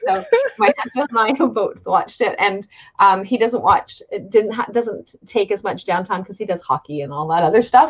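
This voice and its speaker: A woman with a fairly high pitch and an ordinary speaking voice speaks at a moderate pace. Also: lively intonation. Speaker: wellness coach. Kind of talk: interview host talk.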